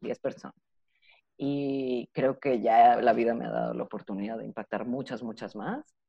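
A woman at a moderate pace with big swings in loudness. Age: 30s. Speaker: psychologist and sex educator. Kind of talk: interview.

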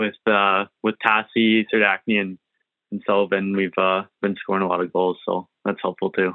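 With monotone, flat intonation, a man delivers his words at a moderate pace and a fairly low pitch. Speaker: junior hockey goalie. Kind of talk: interview.

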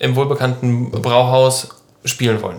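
This voice belongs to a man. His pitch is medium. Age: 20s. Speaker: podcast host and band musician. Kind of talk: casual chat.

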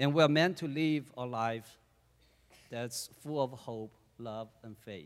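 With a Chinese accent, a man speaks at a medium pitch and a very slow pace, with ordinary pitch variation and long, frequent pauses. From China. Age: 40s. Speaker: church deacon. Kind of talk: testimony.

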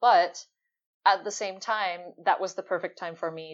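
Her intonation fairly even, a woman speaks with a Finnish accent. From Finland. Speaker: UX and service designer. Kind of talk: casual interview.

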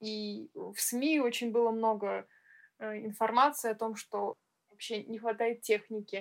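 Speaking at a very slow pace, a woman keeps her intonation fairly even while her loudness swings a lot. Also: fairly high pitch for a woman. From Russia. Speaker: music school teacher and podcast co-host. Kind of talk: casual chat. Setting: online call.

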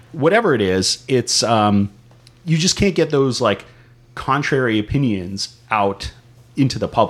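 A man speaks at a fairly slow pace with an American accent and a medium pitch. His intonation is lively, his loudness very even, and it's a plain, everyday voice. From San Diego, California. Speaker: podcast co-host. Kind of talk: casual political discussion.

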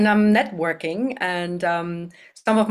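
The speaker has a German accent. The recording is very clean with a silent background. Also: woman. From Germany. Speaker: business consultant and CEO. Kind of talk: interview about business.

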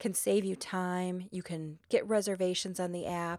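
A woman with an American accent speaks at a fairly slow pace in a dark, mellow tone and a medium pitch. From US Midwest. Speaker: lawyer and podcast host. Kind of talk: solo podcast monologue.

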